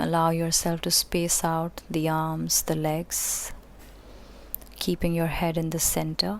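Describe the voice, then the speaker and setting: At a very slow pace, the voice has a calm, soothing tone, with monotone, flat intonation and very even loudness. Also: woman, fairly low pitch for a woman. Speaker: yoga teacher. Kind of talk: guided relaxation. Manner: slow, calm, soothing.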